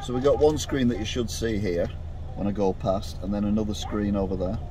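Over noticeable background noise, a man talks at a fairly quick pace in a fairly low voice. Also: dry sound with no echo. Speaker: food reviewer vlogger. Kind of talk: casual vlog chat. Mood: chatty, mildly excited. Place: car. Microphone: phone near.

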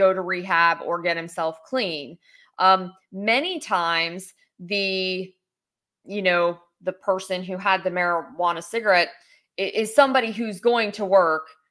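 A woman speaks with an American accent at a fairly slow pace. Her tone is bright and sharp over a quiet background. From West Virginia. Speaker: political candidate and lawyer; candidate, lawyer. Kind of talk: interview. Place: home room. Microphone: webcam.

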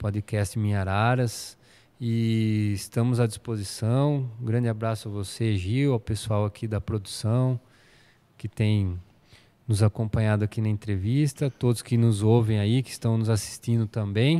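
A man with a dark, mellow tone keeps his intonation fairly even at a fairly slow pace. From São Paulo state, Brazil. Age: 40s. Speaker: municipal planning secretary, architect; interview guest. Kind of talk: interview. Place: studio. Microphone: studio mic.

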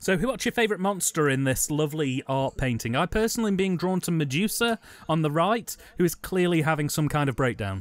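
A man with an English accent talks at a very fast clip in a fairly high pitch, his intonation lively and his loudness very even. The sound is dry and close, with no echo. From England. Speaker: film commentary podcast co-host. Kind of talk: casual chat.

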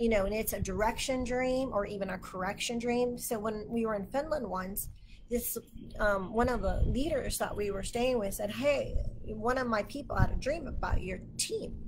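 With light background noise behind her, a woman speaks at a moderate pace in a fairly high pitch with ordinary pitch variation. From Texas. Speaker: Bible teacher. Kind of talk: livestream Bible teaching. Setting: Facebook live stream. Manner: animated. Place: home room. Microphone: webcam.

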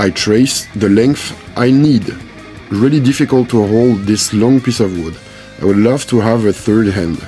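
Music plays in the background as a man with a French accent talks at a fairly slow pace. His pitch is medium, with ordinary variation. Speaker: maker, DIY woodworker. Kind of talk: DIY workshop tutorial narration.

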